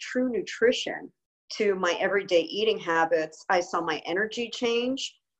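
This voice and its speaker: A woman uses a normal speaking voice, moving at a fairly slow pace and showing ordinary pitch variation. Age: 50s. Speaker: nutrition expert and chef. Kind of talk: interview.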